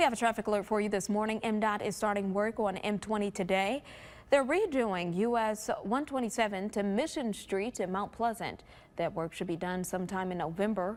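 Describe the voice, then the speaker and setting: On a very clean recording with a silent background, a plain, everyday voice talks fairly quickly, its pitch varying in an ordinary way. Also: woman, medium pitch for a woman. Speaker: TV news anchor and reporter. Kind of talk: morning TV news anchor read.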